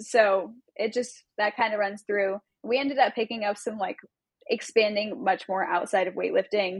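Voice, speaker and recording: A woman speaks with an American accent at a medium pitch. Her pace is moderate, and hers is an unremarkable speaking voice. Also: fairly even intonation. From Southern California, Long Beach. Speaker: weightlifting coach. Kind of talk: casual interview.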